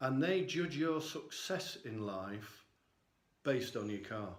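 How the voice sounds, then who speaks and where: A man's medium-pitched voice with lively intonation at a fairly slow pace, with audible room echo. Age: 60s. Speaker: vlogger. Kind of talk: personal vlog monologue.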